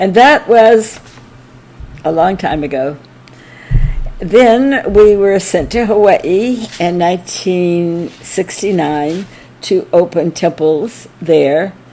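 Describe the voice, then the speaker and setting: Very slow speech with long, frequent pauses and lively intonation in an American accent, over noticeable background noise. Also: woman, medium pitch for a woman. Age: 80s+. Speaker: early disciple of a spiritual teacher. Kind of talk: anniversary talk, reminiscence. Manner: halting.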